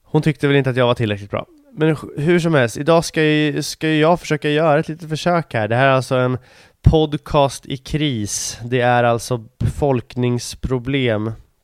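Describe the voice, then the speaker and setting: With music in the background, a man speaks at a moderate pace with a fairly high pitch and ordinary pitch variation, the sound dry and close with no echo. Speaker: podcast host. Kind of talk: casual monologue.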